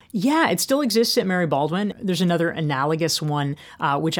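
Against a silent background on a very clean recording, a woman speaks with an American accent. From US South, North Carolina. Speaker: author and business coach. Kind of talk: interview.

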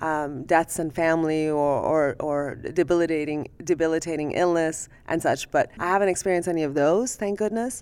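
A woman with a Persian accent, fairly low pitch and ordinary pitch variation, at a moderate pace with hardly any pauses, on a very clean recording with a silent background. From Iran. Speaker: ophthalmologist. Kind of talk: interview conversation.

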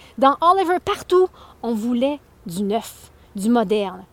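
Her voice moves through very wide pitch swings as this woman speaks. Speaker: podcast host and spoken-word artist. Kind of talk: angry rant, passionate opinion monologue. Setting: outdoors, walking past the houses. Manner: animated; indignant, emphatic.

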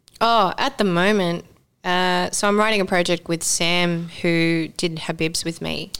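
In a very clean recording with a silent background, a woman with an Australian accent and a fairly low pitch speaks at a fairly slow pace with fairly even intonation. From Sydney, Australia. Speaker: actor. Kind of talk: casual chat.

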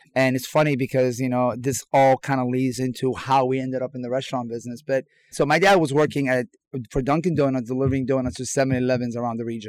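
A man with an American accent talks at a very fast pace, his intonation fairly even. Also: medium pitch for a man. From Iran, came to the US as a teen. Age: 40s. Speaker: chef. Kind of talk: casual interview. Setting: remote from an RV park.

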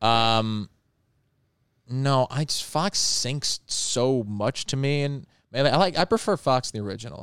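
With an American accent and a plain, everyday voice, a man speaks at a medium pitch and a fairly slow pace with lively intonation, in a very clean, dry, close recording with a silent background and no echo. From Long Island, New York. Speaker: baseball broadcaster. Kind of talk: casual chat. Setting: studio.

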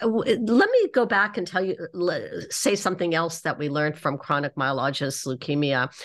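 A woman with a normal speaking voice talks in a Canadian accent at a fairly low pitch. Her intonation is lively, at a moderate pace with hardly any pauses. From Canada (Toronto). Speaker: oncologist and clinical trials researcher. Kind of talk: debate.

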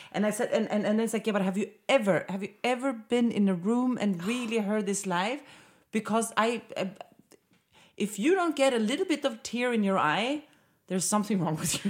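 Speaking fairly quickly with a Swedish accent, a woman has an animated, somewhat breathy tone, a fairly high pitch and ordinary pitch variation. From Sweden. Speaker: podcast host. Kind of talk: casual interview chat. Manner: animated, swears freely.

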